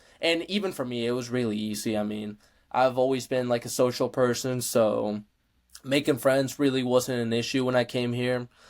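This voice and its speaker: The speaker has a Spanish accent and a relaxed tone, moving at a moderate pace with fairly even intonation. The recording is very clean, with a silent background. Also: man, medium pitch for a man. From Mexico. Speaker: powerlifter and college student. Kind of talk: casual interview chat. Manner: relaxed, many fillers.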